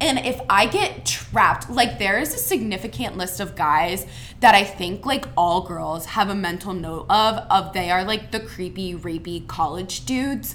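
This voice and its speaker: A woman with an American accent speaks at a fairly slow pace with hardly any pauses, her medium pitch carried by lively intonation. Noticeable background noise and audible room echo fill the recording. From Ohio, Cincinnati area. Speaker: college student. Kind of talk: casual chat. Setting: studio.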